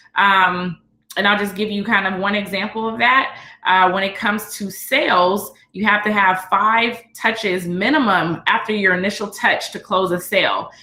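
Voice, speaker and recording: A woman's medium-pitched voice, bright and sharp in tone, with fairly even intonation. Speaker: business coach. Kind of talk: teleconference presentation. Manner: fast.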